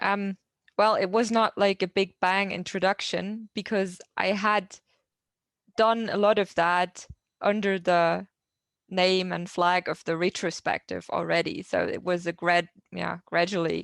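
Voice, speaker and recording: A woman speaks with a German accent at a fairly slow pace, her intonation fairly even and broken by long, frequent pauses. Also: dry, close sound with no echo. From southern Germany. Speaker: agile coach. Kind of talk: Q&A answer at online meetup. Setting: video call. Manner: halting.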